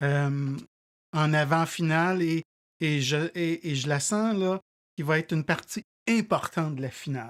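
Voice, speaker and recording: The speech moves at a fairly slow pace with long, frequent pauses. The recording is very clean, with a silent background. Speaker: whisky tasting show host. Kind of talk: casual tasting chat. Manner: halting, many repetitions.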